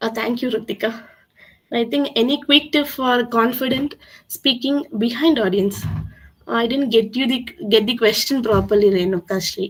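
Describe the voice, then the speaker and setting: A woman with a Tamil accent speaks at a moderate pace. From South India, Tamil Nadu (Coimbatore). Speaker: communication skills trainer. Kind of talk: webinar Q&A. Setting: online webinar. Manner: halting, many fillers.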